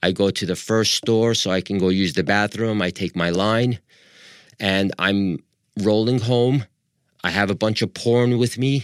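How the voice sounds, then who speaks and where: In a very clean recording with a silent background and a dry, close sound with no echo, a man speaks with a New York accent. His fairly low voice stays fairly even in intonation and very even in loudness, at a fairly slow pace. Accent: New York American. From Long Island, New York. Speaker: wheelchair athlete guest. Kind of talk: interview.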